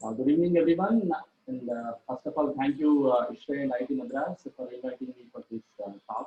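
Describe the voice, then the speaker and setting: Speaking at a fairly quick pace, a man with a fairly high pitch shows big swings in loudness. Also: ordinary pitch variation. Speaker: invited speaker on refrigeration engineering. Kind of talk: technical lecture. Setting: online webinar. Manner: halting, many filler sounds; soft-spoken. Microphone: too quiet.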